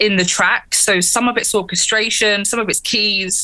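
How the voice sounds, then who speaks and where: The speaker has a strong English accent. The tone is bright and sharp. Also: woman. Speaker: keyboardist and singer in a metal band. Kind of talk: casual interview. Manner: energetic.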